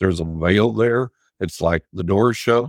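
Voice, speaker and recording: Recorded very cleanly with a silent background and a dry, close sound free of echo, a man with an unremarkable speaking voice and fairly low pitch talks at a moderate pace with ordinary pitch variation. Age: 60s. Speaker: psychic and author. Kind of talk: casual interview chat.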